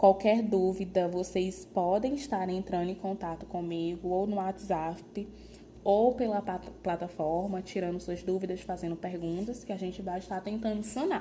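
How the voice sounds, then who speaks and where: Audible room echo surrounds a somewhat breathy voice with a dark, mellow tone. The pace is moderate, and the pitch varies in an ordinary way. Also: woman. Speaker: nursing lecturer. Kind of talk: lecture.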